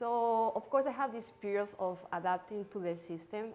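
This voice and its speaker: This woman has a medium pitch and a strong Mexican accent. She talks at a moderate pace with ordinary pitch variation. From Mexico. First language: Spanish. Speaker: singer and music teacher, immigrant. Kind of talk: interview. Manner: halting, with fillers.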